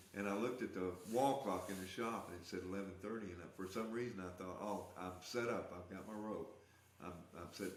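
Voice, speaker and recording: A man's fairly low voice at a fairly quick pace, fairly even in intonation, with audible room echo and noticeable background noise. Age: 70s. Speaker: rat rod builder and artist. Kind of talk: testimony.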